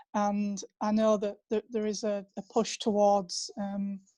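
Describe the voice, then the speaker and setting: A woman with a Yorkshire accent, fairly high in pitch, with a dark, mellow tone and a somewhat breathy quality. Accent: northern English, Yorkshire. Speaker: author. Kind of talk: panel discussion.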